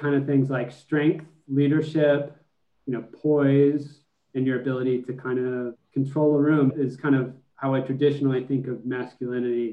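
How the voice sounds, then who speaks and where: Monotone and flat in intonation, a man speaks at a moderate pace with medium pitch. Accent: American. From Texas, Austin. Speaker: expectant father, MBA graduate. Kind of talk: casual chat.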